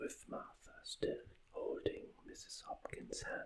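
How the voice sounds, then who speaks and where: A man talks at a very slow pace while noticeable background noise runs underneath. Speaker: author reading own book. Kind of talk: ASMR audiobook reading. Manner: whispered, soft.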